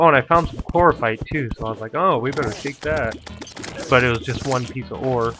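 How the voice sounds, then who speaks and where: With music in the background, the speech runs at a fairly quick pace. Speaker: gaming video creator. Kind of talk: gameplay commentary recorded after the fact.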